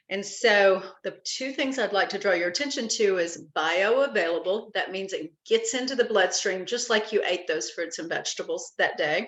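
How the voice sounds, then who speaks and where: A woman with a medium pitch and an unremarkable speaking voice talks at a moderate pace with ordinary pitch variation and hardly any pauses. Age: 60s. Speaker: network marketing presenter. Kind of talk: sales pitch. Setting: live conference call.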